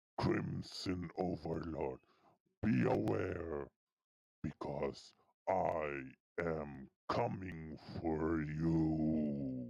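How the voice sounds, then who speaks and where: Using a put-on character voice, a man speaks at a very slow pace with long, frequent pauses and a very deep, low pitch. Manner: threatening, menacing.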